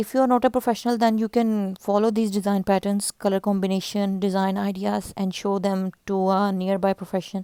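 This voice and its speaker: At a fairly quick pace, a woman with a non-native accent talks in a dark, mellow tone with fairly even intonation, recorded with a dry, close sound and no echo. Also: very clean recording, silent background. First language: not English. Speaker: YouTube fashion and craft channel host. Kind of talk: narrated video presentation.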